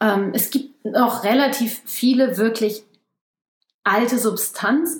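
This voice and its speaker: Ordinary pitch variation marks this voice. It belongs to a woman and sounds somewhat breathy. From Germany. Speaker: ecologist. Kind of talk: casual interview.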